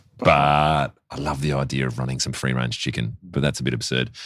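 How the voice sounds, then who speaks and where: Fairly quick delivery from a male speaker with an Australian accent. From South Australia. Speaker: bar owner. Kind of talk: casual interview chat.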